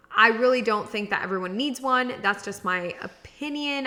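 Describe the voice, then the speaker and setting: A woman's fairly high voice over noticeable background noise. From Miami. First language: Spanish. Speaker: podcast host, grant writing coach. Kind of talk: podcast monologue. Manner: casual, many fillers.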